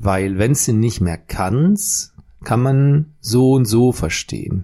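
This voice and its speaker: Lively intonation colors this man's dark, mellow tone as he speaks at a very slow pace. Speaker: podcast co-host. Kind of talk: casual chat. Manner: slow with long thinking pauses.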